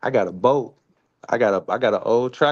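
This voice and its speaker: A man speaks with a Memphis accent at medium pitch and ordinary pitch variation. The background is quiet. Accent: Southern US, Memphis. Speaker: live stream co-host. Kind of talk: casual chat. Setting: live stream.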